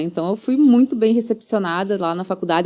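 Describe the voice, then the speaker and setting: With a strong Rio Grande do Sul accent, a woman speaks at a fairly high pitch using lively intonation. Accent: strong gaucho Brazilian Portuguese. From Rio Grande do Sul, southern Brazil. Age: 40s. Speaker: family lawyer. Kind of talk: casual chat.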